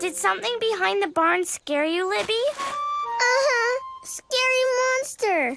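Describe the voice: A cartoonish character voice at a fairly slow pace over loud music in the background. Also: female-sounding voice, extremely high pitch for a woman.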